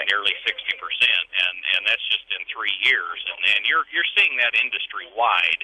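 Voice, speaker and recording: Pausing hardly at all, a man keeps to a moderate pace. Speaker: auction company executive, interviewee. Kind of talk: radio interview answer.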